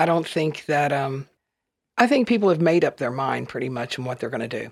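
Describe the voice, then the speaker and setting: The speaker has a Southern US accent. The delivery moves at a fairly quick pace. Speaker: campaign volunteer. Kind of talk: panel discussion.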